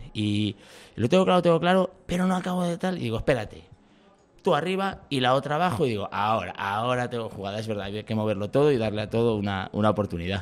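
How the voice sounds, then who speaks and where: Very fast, the man's speech swings very widely in pitch. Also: medium pitch for a man. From Valladolid, Spain. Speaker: comedian. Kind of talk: casual chat.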